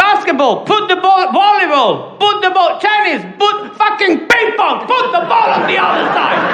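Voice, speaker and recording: A raised, projected voice with ordinary pitch variation and noticeable background noise behind it. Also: man. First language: not English. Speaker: stand-up comedian. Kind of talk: stand-up. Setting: stage with audience.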